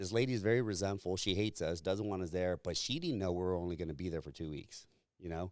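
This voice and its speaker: A man with a Californian accent speaks at a very fast pace in an animated tone, his pitch very deep and low with ordinary variation. The recording is very clean, with a silent background. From Southern California, Riverside. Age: 40s. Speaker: entrepreneur. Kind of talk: casual chat.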